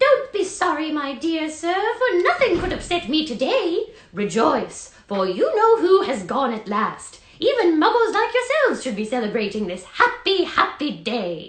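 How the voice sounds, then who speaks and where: In a squeaky, put-on character voice, the pitch is extremely high and swings very widely. It moves at a moderate pace with hardly any pauses. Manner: gleeful, elated.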